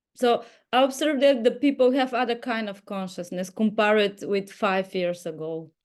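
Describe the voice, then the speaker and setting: Against a quiet background, the speaker has a non-native accent, lively intonation and a moderate pace. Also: woman, fairly high pitch for a woman. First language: not English. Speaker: inner dance teacher. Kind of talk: group video call sharing. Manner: halting.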